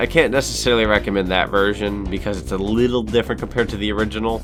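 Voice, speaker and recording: A man rattles along at a very fast pace while music plays behind him. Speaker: gaming YouTuber. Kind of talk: video game review narration. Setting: home studio microphone. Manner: upbeat, playful.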